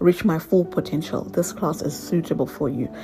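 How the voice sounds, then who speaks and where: A woman at a fairly quick pace, fairly low in pitch, with music in the background. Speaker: makeup artist. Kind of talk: tutorial. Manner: casual, filler-heavy.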